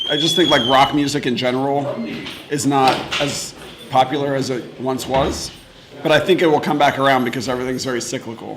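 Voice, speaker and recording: Against noticeable background noise and audible room echo, a man with an American accent talks at a fairly quick pace and fairly high pitch, his intonation fairly even. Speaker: metal musician. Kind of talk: interview.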